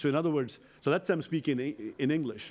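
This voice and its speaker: Speaking at a very fast pace, a man with a fairly high pitch sounds energetic on a very clean recording with a silent background. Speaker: professor, online education founder. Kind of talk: lecture Q&A.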